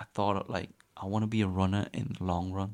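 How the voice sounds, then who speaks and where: This man has an unremarkable speaking voice at a fairly low pitch. He speaks at a fairly quick pace. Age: 20s. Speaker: amateur runner. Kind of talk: casual chat.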